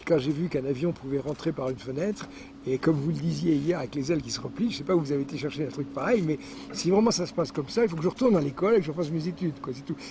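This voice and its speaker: A man talks at a very fast pace with ordinary pitch variation. Noticeable background noise sits behind him. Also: fairly high pitch for a man. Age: 70s. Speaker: scientist and former aeronautical engineer. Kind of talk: interview.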